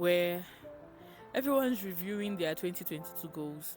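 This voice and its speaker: At a moderate pace and with ordinary pitch variation, the speaker talks while music plays in the background. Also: woman. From Nigeria. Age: young. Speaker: psychology student. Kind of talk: casual talk to camera.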